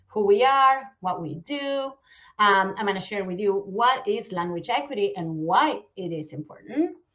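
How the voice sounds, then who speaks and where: Her voice is fairly high and moves in very wide pitch swings. The woman keeps a moderate pace. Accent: Argentine. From Argentina. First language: Spanish. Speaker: nonprofit outreach manager. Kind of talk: conference presentation. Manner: hesitant, many fillers.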